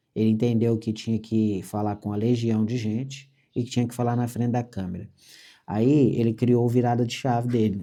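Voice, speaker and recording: A man's medium-pitched voice, dark and mellow, over a quiet background. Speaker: construction franchise executive. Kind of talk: motivational business meeting talk. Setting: meeting with franchisees. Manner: fast; animated.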